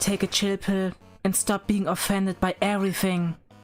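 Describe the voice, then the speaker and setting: A woman with a medium-pitched voice speaks over music in the background. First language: not English. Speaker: VTuber streamer. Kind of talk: gaming livestream.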